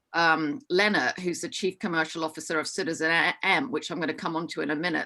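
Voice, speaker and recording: A woman in a Hong Kong accent speaks with a fairly low pitch and a bright, sharp tone. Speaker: hospitality business executive. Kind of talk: online forum presentation. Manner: frequent fillers, halting.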